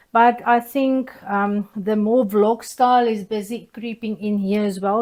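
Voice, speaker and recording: A woman speaks very slowly with a South African accent. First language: Afrikaans. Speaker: soap-making YouTuber. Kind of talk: casual tutorial vlog. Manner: hesitant, many fillers.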